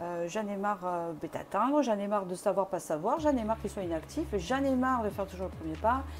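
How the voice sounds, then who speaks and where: Music plays in the background while the speech moves at a fairly quick rate. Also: woman. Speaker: tarot reader. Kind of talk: tarot reading to camera. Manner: fast; hesitant with many fillers.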